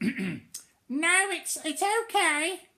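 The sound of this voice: The speaker performs a put-on character voice at an extremely high pitch.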